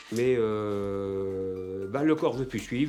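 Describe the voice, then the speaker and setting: Music plays in the background. The voice shows ordinary pitch variation. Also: man. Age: 70s. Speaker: retired woodturner. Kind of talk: documentary interview. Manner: halting, many hesitations and repetitions.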